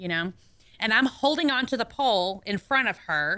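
This woman talks with a Southern US accent. Her tone is bright and sharp. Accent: Southern twang. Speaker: radio co-host. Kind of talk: casual chat. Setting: radio studio.

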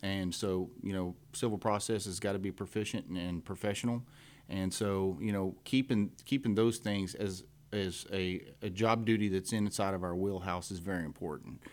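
In a Texan accent, a man speaks at a moderate pace with a fairly low pitch and fairly even intonation, on a very clean recording with a silent background. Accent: Texas English. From Texas, Montgomery County. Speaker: law enforcement officer, constable candidate. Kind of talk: radio interview. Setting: radio studio.

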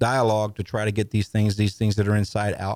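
A man's fairly low, dark and mellow voice in a dry, close sound with no echo. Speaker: ministry leader for veterans. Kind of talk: radio interview, conversational. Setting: studio.

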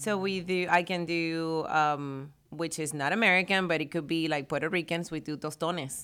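A woman's fairly low, bright and sharp voice with fairly even intonation, on a very clean recording with a silent background. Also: moderate pace. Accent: Spanish. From Venezuela. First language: Spanish. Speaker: barista and café owner. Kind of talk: casual radio interview. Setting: radio studio.

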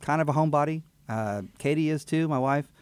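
With a Texan accent and lively intonation, a man speaks on a very clean recording with a silent background. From Texas, Houston area (Fort Bend County). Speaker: attorney and judicial candidate. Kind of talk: interview. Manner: halting.

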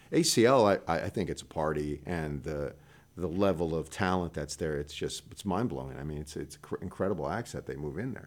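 A man's very deep, low voice with vocal fry and big swings in loudness. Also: ordinary pitch variation. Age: 60s. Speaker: blues musician. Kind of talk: casual chat.

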